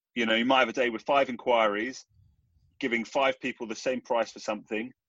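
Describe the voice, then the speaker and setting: A man speaks with an English accent. His pitch sits in the medium range. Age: 30s. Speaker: entrepreneur. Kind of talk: interview.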